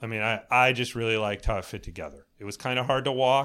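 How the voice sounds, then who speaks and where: A man with an American accent speaks in a bright, sharp tone with fairly even intonation. The recording is very clean, the background silent. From US East Coast. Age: 50s. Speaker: golf course architect. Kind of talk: casual chat.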